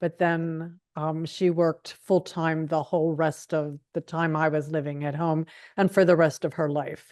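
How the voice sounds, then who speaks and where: A woman with an American accent speaks at a fairly slow pace, her pitch very deep and low. Her intonation is monotone and flat, against a quiet background. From Pittsburgh, Pennsylvania, US. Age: 60s. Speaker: retired librarian, oral history interviewee. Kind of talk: oral history interview. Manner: hesitant, many fillers.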